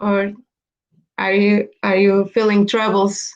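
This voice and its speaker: A woman is speaking. She has a Portuguese accent. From Portugal, Caldas da Rainha. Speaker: flight attendant. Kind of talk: casual chat. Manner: halting.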